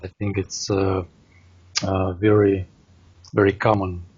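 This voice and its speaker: In a Russian accent, the speaker sounds somewhat breathy, talking at a fairly slow pace with monotone, flat intonation. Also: man. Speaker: language learner. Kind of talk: casual conversation practice. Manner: halting, many fillers.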